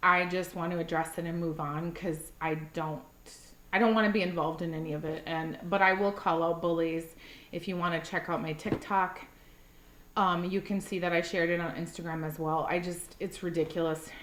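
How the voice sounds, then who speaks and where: A woman talks at a fairly quick pace in a fairly low voice. The room echo is audible. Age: 40s. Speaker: wax melt reviewer. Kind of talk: casual vlog chat. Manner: animated.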